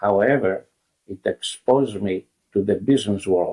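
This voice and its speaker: A man with a Greek accent speaks at fairly low pitch in a dark, mellow tone. His pitch varies in an ordinary way, and the sound is dry and close with no echo. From Greece. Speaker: restaurant founder. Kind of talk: interview.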